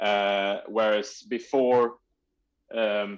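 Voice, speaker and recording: Over a quiet background, a man with a Swedish accent speaks at a fairly low pitch in a monotone, flat way. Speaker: trials bike rider. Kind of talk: podcast interview. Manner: halting, searching for words.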